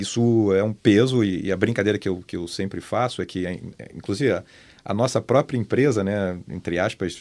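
A man with a fairly low pitch speaks at a moderate pace with ordinary pitch variation and an unremarkable speaking voice, recorded very cleanly against a silent background. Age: 50s. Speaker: media company director. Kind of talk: casual chat.

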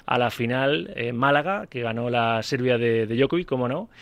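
The speaker goes at a moderate pace with ordinary pitch variation. The background is quiet. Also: man. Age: 40s. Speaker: sports radio host. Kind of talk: live radio sports talk. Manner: animated.

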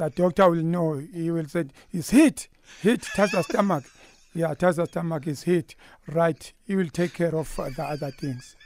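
Here a man with a Zulu accent talks in a high pitch. His pitch varies in an ordinary way. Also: moderate pace, dry, close sound with no echo. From KwaZulu-Natal, South Africa. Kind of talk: radio interview. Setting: studio. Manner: animated.

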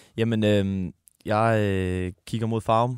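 A man speaks with fairly even intonation. The recording is very clean, with a silent background. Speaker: football podcast co-host. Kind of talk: casual sports chat.

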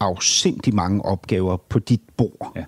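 Pitched fairly low, a man talks very slowly with ordinary pitch variation, the sound dry and close with no echo. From Denmark, Copenhagen area. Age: 50s. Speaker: podcast host and interviewer. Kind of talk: interview. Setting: politician's office.

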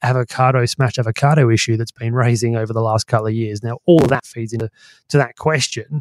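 With an Australian accent, a man at a medium pitch speaks very fast in fairly even intonation, the sound dry and close with no echo. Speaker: market strategist and podcast co-host. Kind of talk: casual chat.

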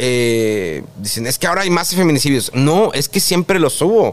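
Noticeable background noise fills the space behind a man. His intonation is lively and his pace moderate. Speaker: TV presenter. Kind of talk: interview.

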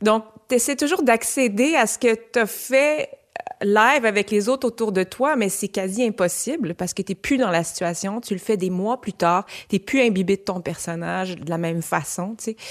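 A woman speaks in a normal speaking voice at medium pitch and a moderate pace. Her intonation is lively, and the sound is dry and close with no echo. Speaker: actress. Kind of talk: casual discussion.

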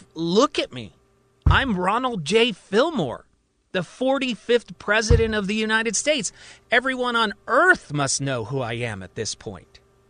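A man's put-on character voice, high-pitched with big pitch swings, a bright, sharp tone and a fairly slow pace

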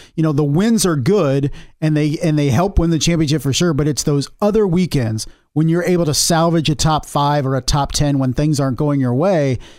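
A man with a plain, everyday voice speaks fairly quickly at a fairly high pitch. His loudness stays very even and his pitch varies in an ordinary way. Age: 30s. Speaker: motorsport podcast co-host. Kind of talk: casual sports discussion.

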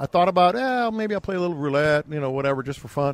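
Recorded in a dry, close sound with no echo, a man speaks with lively intonation. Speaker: sports radio host. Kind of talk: sports hype monologue, theatrical Vegas-style build-up, then casual sports talk. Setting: live radio show on location in Las Vegas. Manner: dramatic, animated, building like a ring announcer.

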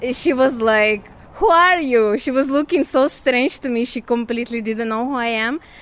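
The speaker's intonation is lively, with noticeable background noise behind it. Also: woman. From Ukraine, Kyiv. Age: 30s. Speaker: returning refugee. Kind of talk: interview. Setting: on a train.

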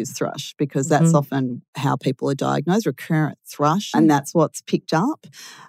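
A woman's very deep, low voice with vocal fry and an Australian accent, fairly quick, with ordinary pitch variation, dry and close with no echo on a very clean recording with a silent background. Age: 40s. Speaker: diabetes advocate with type 1 diabetes. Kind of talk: casual interview chat. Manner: animated.

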